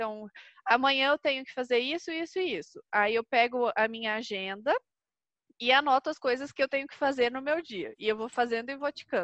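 The intonation is lively. The pace is moderate. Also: woman. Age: 20s. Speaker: entrepreneur. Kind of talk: casual chat.

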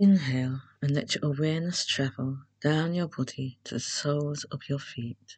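The voice is calm and somewhat breathy, with ordinary pitch variation. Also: woman, very deep, low pitch for a woman. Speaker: meditation guide. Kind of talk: guided meditation. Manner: slow, hushed, calm and measured.

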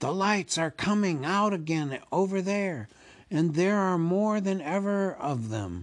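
The speaker uses a put-on character voice at a fairly slow pace. The recording is very clean, with a silent background. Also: man, high pitch for a man.

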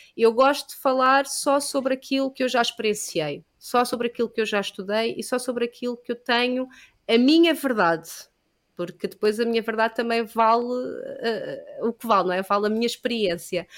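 A woman speaks at a moderate pace in a fairly high pitch with ordinary pitch variation, on a very clean recording with a silent background. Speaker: yoga teacher. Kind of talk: casual chat. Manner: halting.

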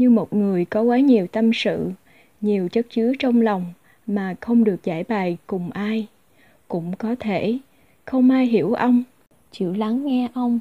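In a dry, close sound with no echo and a quiet background, a woman with a dark, mellow tone and a fairly high pitch speaks at a fairly slow pace, with ordinary pitch variation and long, frequent pauses. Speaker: podcast host and interpreter. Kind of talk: reading aloud a personal essay.

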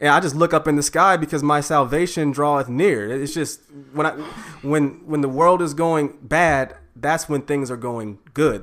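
A man with a plain, everyday voice, fairly high pitch, ordinary pitch variation and a moderate pace. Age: 30s. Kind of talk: casual chat.

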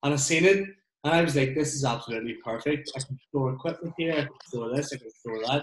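The voice is somewhat breathy. The pace is very fast. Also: man, fairly high pitch for a man, ordinary pitch variation. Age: 30s. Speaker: podcast host and removals business owner. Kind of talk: casual chat. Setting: video call.

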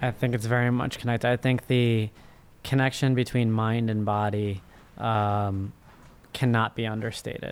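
The speech is monotone, with flat intonation at a moderate pace. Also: man, medium pitch for a man. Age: 30s. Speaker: first-time author and finance professional. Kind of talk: interview.

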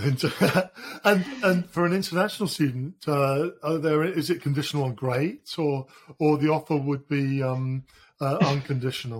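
A man with a British accent and a fairly high pitch speaks at a moderate pace with ordinary pitch variation. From Britain. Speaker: podcast host. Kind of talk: interview.

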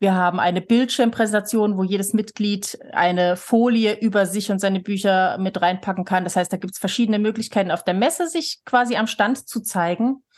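A woman speaks in a plain, everyday voice at a medium pitch, going at a fairly quick pace with hardly any pauses and ordinary pitch variation. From Switzerland, near Lake Thun, moved to Germany at 13. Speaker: author and association chair. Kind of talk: casual interview.

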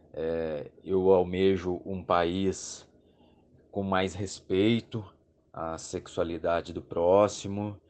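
Very slowly paced, the speech stays monotone and flat in intonation. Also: man, very deep, low pitch for a man. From southern Minas Gerais, Brazil. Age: 30s. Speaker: massage therapist. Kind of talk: recorded listener message.

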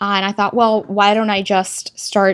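Speaking at a moderate pace in an American accent, a woman has an unremarkable speaking voice at medium pitch. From Texas. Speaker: tech entrepreneur and engineer. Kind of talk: interview.

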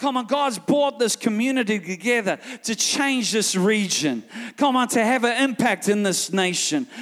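Someone with a New Zealand accent talks at a moderate pace in an animated tone, with ordinary pitch variation and very even loudness, over noticeable background noise. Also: man, extremely high pitch for a man. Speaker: guest preacher. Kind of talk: sermon. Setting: church with live congregation.

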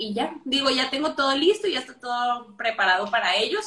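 A bright, sharp tone comes through at a moderate pace. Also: woman. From northern Mexico, Torreón. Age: 20s. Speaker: physiotherapist. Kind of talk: casual interview. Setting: live video call.

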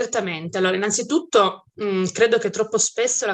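A woman speaks at a fairly quick pace in a bright, sharp tone with fairly even intonation. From Piedmont, Italy (Bardonecchia, Turin province). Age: 30s. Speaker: criminologist and writer. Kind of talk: interview. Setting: Turin, near a museum.

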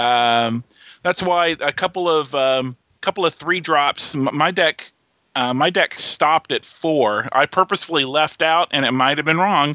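A plain, everyday voice belongs to this man, who speaks at a fairly slow pace and fairly high pitch with very even loudness. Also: ordinary pitch variation. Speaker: guest. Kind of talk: casual chat.

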